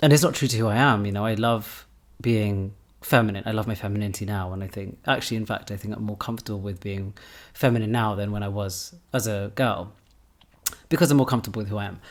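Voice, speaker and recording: In a British accent, a man with a fairly low pitch talks at a very fast pace with fairly even intonation. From England, British Pakistani family. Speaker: podcast host. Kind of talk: casual chat.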